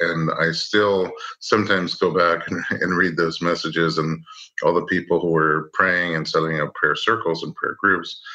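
Noticeable background noise sits behind a man with a very deep, low pitch who speaks at a moderate pace in a monotone, flat intonation. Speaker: prenatal chiropractor and childbirth educator. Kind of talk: interview.

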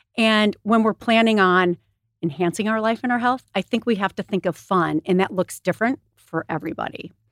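Recorded very cleanly against a silent background with a dry, close sound with no echo, a woman with an unremarkable speaking voice talks at a fairly quick pace and medium pitch. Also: ordinary pitch variation. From US Midwest, Michigan. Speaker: wellness retreat co-founder. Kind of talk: casual interview.

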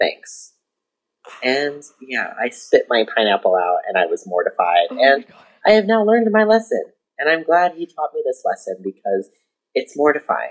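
The sound is dry and close with no echo as a man talks at a moderate pace. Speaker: voicemail submitter. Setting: recorded voicemail.

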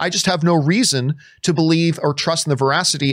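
Heard in a very clean recording with a silent background, a man with a normal speaking voice talks at a fairly quick pace, his fairly high pitch showing ordinary variation. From Canada. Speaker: podcast host. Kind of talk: casual chat.

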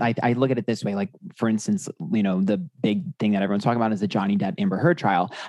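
The man's tone is dark and mellow, pitched at a medium level with lively intonation. He talks at a very fast pace in a dry, close sound with no echo. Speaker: tarot reader and YouTuber. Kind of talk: casual chat. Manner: sassy.

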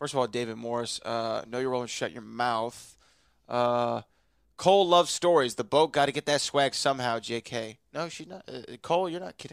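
A man with an ordinary speaking voice, medium pitch and ordinary pitch variation, at a moderate pace, big swings in loudness, in a dry, close sound with no echo. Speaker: trivia show host. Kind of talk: casual banter, show recap. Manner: joking, playful.

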